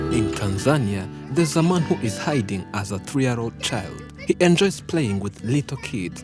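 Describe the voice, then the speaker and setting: A man talks at a moderate pace with hardly any pauses, his fairly low voice swinging very widely in pitch. Music plays in the background. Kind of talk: documentary narration.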